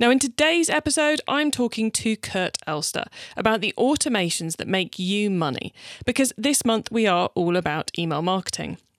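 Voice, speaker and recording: Fairly high in pitch with very wide pitch swings, a woman speaks at a moderate pace in an upbeat, enthusiastic tone, the sound dry and close with no echo. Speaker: podcast host.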